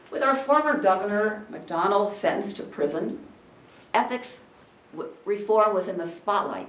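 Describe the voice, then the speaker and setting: A woman's voice rises and falls in very wide pitch swings at a moderate pace. Room echo is audible. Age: 60s. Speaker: political candidate. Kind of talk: campaign speech. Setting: room with audience.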